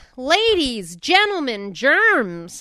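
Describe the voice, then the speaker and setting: A female-sounding voice, high-pitched, doing a put-on character voice. The pitch swings very widely. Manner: jokey, stage patter.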